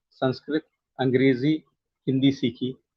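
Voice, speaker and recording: A man speaks with a Malayalam accent. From South India (Kerala, childhood in Andhra Pradesh). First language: Malayalam (speaking Hindi). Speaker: poet and translator. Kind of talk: interview. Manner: hesitant, many fillers.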